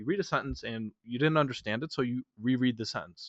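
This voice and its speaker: A man speaks with an American accent at a fairly quick pace. His pitch varies in an ordinary way. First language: Polish. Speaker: reading course founder and instructor. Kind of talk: webinar lecture. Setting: online webinar.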